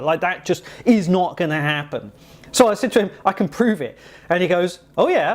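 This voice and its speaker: In an English accent, a man speaks with a high pitch. His pace is moderate. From England. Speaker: software developer vlogger. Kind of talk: casual vlog storytelling. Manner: conversational with many fillers.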